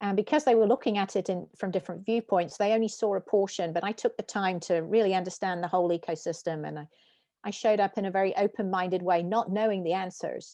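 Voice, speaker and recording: Against a quiet background, a woman with a British accent talks very fast at a medium pitch in a dark, mellow tone with ordinary pitch variation. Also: dry, close sound with no echo. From UK. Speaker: tech company founder and CEO. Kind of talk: interview.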